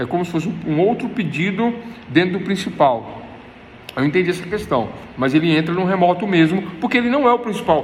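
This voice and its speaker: Over noticeable background noise and audible room echo, a man talks fairly quickly in a high pitch with lively intonation. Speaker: law professor. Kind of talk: lecture. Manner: fast; repetitive, explanatory.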